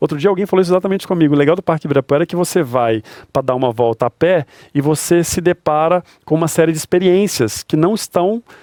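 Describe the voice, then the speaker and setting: A man's dark, mellow tone at a fairly high pitch and a very fast pace. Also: ordinary pitch variation, dry, close sound with no echo. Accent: mineiro. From Brazil, Belo Horizonte (Minas Gerais). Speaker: stadium and park manager. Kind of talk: interview conversation.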